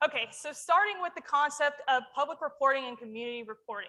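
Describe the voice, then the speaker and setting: A woman speaks loudly and fairly quickly in a bright, sharp tone with ordinary pitch variation. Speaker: emergency manager. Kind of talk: conference presentation. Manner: animated.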